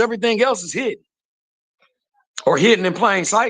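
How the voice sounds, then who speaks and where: With a raised, projected voice, a man speaks at a high pitch in a bright, sharp tone. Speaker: caller. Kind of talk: heated debate. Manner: fast.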